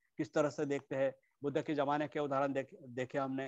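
The sound is dry with no echo as a man speaks in a fairly high pitch with monotone, flat intonation. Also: quiet background. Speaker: Buddhist Dharma teacher; dharma teacher. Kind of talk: Dharma talk. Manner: halting, many fillers. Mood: calm, reflective. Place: home room. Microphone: earbuds.

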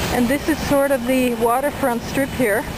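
Loud background noise behind a woman at a moderate pace, the sound dry with no echo. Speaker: travel vlogger. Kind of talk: casual travel narration. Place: street. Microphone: phone near.

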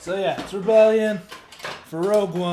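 Speech at a moderate pace, with noticeable noise behind it. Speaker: vlogger. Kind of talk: casual vlog chat. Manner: loose, tipsy speech between drinks. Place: home room. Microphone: webcam.

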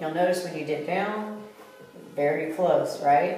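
Over faint background music, a woman speaks at a moderate pace with audible room echo. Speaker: fitness instructor. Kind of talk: tutorial.

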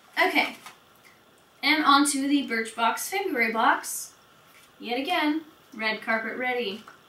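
With audible room echo, a woman uses a raised, projected voice, high in pitch and bright and sharp in tone, at a fairly slow pace with long, frequent pauses. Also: ordinary pitch variation. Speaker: beauty vlogger. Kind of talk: product review vlog.

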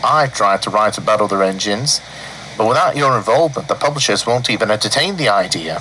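The speaker reads with lively intonation in an unforced reading voice.

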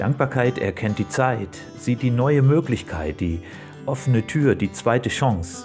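Lively intonation from a male speaker over clear music in the background. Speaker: poetry slam performer. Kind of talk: poetry slam performance. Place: beach.

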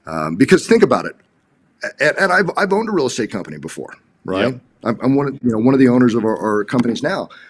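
Talking at a very fast pace, a man with an American accent and medium pitch uses vocal fry. His pitch swings very widely and his loudness shifts a great deal. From Los Angeles, US. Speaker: real estate agent; guest. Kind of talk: interview. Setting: video call. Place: home room. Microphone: video call.

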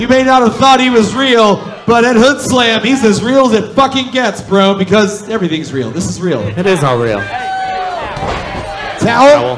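Music plays behind a man with a high voice. He talks at a moderate pace with ordinary pitch variation and hardly any pauses. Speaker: wrestling commentator. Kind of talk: live wrestling commentary. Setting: wrestling show commentary. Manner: jokey, banter with co-commentator. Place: hall.

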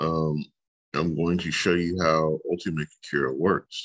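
Quiet background behind a man's voice. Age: 40s. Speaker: teacher. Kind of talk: tutorial. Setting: screen-share video lesson. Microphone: webcam.

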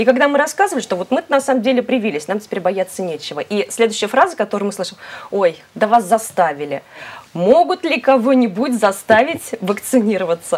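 A woman at a fairly high pitch, fairly quick in pace, with very wide pitch swings. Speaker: TV host. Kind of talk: live TV studio discussion. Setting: studio. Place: studio. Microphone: lapel.

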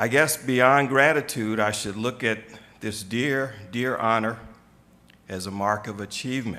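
A man's bright, sharp voice at medium pitch, with ordinary pitch variation and a fairly slow pace.

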